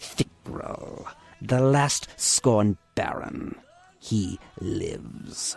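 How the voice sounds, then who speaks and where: A man puts on a croaky character voice. He speaks at a very slow pace. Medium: read story. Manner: broken, clipped English.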